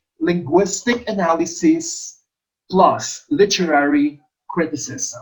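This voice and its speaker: The speaker talks at a very slow pace with an Ilonggo accent. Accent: Filipino (Ilonggo) English. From Philippines, Iloilo. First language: Hiligaynon. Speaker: English teacher, exam review coach. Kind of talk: lecture, exam review.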